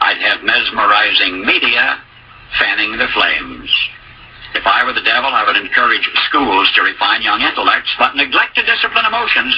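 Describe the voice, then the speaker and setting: Moderate pace with an American accent over noticeable background noise. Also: man. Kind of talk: spoken essay, radio commentary.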